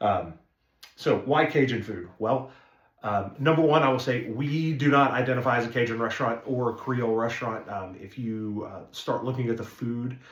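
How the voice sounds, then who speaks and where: A man speaks with an American accent at a medium pitch and a moderate pace. His pitch varies in an ordinary way, and some room echo is audible. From northeast Arkansas, small town. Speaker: restaurant owner. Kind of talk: casual introductory video talk. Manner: casual, many filler words.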